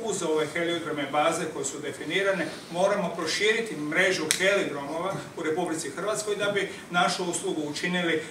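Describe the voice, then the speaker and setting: Amid noticeable background noise and audible room echo, a man with a high voice speaks at a fairly quick pace with fairly even intonation. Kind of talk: press conference statement. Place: hall. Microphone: handheld.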